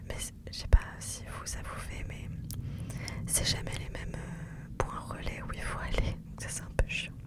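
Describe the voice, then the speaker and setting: A woman whispering at a fairly slow pace in a relaxed tone, over noticeable background noise. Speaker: ASMR content creator; mother of daughters. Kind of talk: casual chatty talk to camera (blabla), close-mic ASMR. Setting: recorded in a parked car. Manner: soft, relaxed, chatty.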